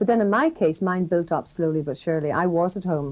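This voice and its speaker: A woman with a Northern Irish accent, a dark, mellow tone and a fairly quick pace. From Northern Ireland. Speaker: broadcaster. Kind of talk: interview answer.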